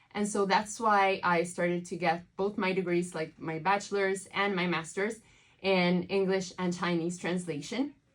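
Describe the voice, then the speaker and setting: A woman speaks in an Italian accent at medium pitch. Her pace is moderate and her intonation fairly even. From southern Italy. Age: 20s. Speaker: translator. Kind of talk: interview. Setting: studio.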